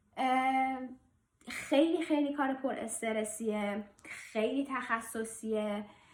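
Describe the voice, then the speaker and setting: A woman talks very slowly in a high-pitched voice. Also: ordinary pitch variation. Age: 30s. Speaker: vlogger, airline flight control manager. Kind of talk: casual personal vlog. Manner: hesitant with fillers.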